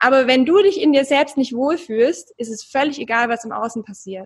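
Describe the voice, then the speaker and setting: A woman is speaking. Her pace is moderate. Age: 30s. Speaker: relationship coach. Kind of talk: interview.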